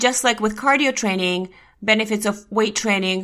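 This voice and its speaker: In a very clean recording with a silent background, a woman with a Russian accent speaks in a bright, sharp tone with ordinary pitch variation. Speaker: health podcast host. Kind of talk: educational podcast monologue.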